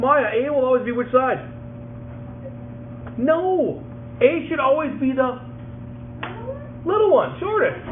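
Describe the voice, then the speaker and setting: A man is speaking in a recording with noticeable background noise. Audible room echo surrounds his voice. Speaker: math teacher. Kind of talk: classroom lesson. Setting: classroom with students.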